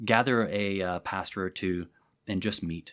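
Against a silent background in a very clean recording, a man with an American accent speaks at a fairly slow pace and fairly low pitch, his pitch varying in an ordinary way. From southern Illinois. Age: 40s. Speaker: pastor and prayer ministry leader. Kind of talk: interview conversation. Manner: animated.

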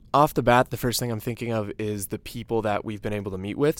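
With an American accent, a man speaks at a fairly quick pace in an unremarkable speaking voice with ordinary pitch variation. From Chicago suburbs, Illinois. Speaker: student government leader. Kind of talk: casual chat.

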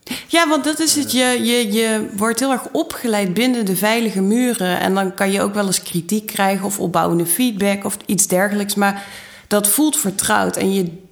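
A woman with a medium pitch and ordinary pitch variation speaks at a moderate pace. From Netherlands, Maastricht (Limburg). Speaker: fashion designer. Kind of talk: interview.

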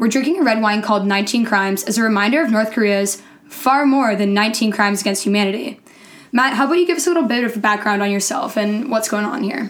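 Woman with a fairly high pitch at a very fast pace, over noticeable background noise. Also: ordinary pitch variation. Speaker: podcast co-host. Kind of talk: casual podcast chat.

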